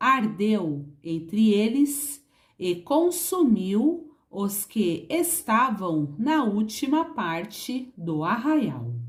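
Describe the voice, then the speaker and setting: A woman speaks at a very slow pace with medium pitch and very wide pitch swings. Her voice is somewhat breathy. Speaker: Bible reader. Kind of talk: Bible reading.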